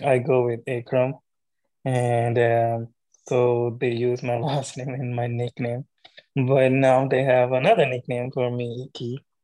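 A man with a Pakistani accent talks at a fairly slow pace and medium pitch, his intonation fairly even. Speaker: beatball player. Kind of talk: casual chat.

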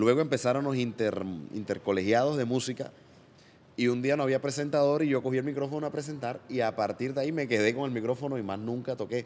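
Intonation stays fairly even while the words rush out at a very fast pace. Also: man, medium pitch for a man. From Colombia, Barranquilla (Caribbean coast). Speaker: comedian and singer. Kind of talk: casual interview chat.

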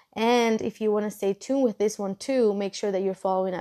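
In a Spanish accent, a woman speaks at a fairly quick pace with a medium pitch. Her intonation is fairly even over a quiet background. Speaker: podcast host. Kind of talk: solo podcast monologue.

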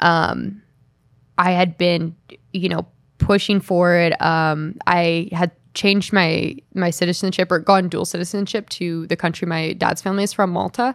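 A plain, everyday voice at a moderate pace, with fairly even intonation, on a very clean recording with a silent background. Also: woman, fairly low pitch for a woman. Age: 20s. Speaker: Olympic snowboarder. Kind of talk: casual chat.

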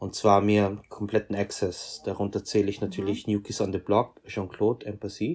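The man has a plain, everyday voice. He speaks at a moderate pace with a fairly low pitch. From Austria, Vienna. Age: 30s. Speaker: fashion photographer. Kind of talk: interview.

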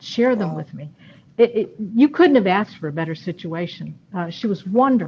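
With an American accent, a somewhat breathy woman speaks at medium pitch and a moderate pace, with lively intonation and big swings in loudness. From New York State (Rochester area). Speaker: retired university administrator and educator. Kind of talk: interview, personal storytelling.

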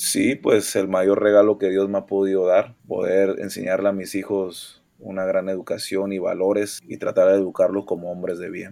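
Keeping a moderate pace, the man talks with hardly any pauses. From Mexico (Monterrey) and Panama. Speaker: professional basketball player. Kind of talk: interview.

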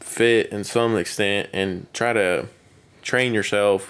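This man has a fairly low pitch and an American accent, delivering his words in a monotone with flat intonation. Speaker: police officer. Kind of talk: casual chat.

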